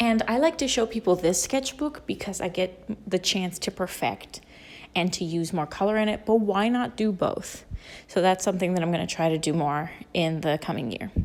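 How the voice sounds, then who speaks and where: A woman has a normal speaking voice at a medium pitch. She talks at a moderate pace with lively intonation. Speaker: artist and art student. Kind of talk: voiceover narration.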